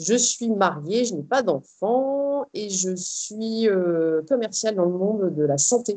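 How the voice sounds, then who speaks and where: A woman's medium-pitched voice with a dark, mellow tone and lively intonation, very slow yet with hardly any pauses. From northern France, Arras. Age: 30s. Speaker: ultra trail runner. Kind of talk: interview. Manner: hesitant, many fillers.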